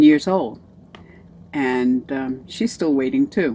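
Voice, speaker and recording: Very wide pitch swings at a fairly slow pace. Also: woman. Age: 70s. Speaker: vlogger on weight-loss surgery. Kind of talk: casual video diary. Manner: hesitant, many fillers.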